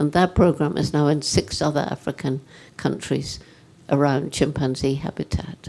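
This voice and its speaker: A woman speaks with a very deep, low pitch, fairly even intonation and vocal fry. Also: moderate pace. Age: 80s+. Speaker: primatologist and environmental activist. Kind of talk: interview answer.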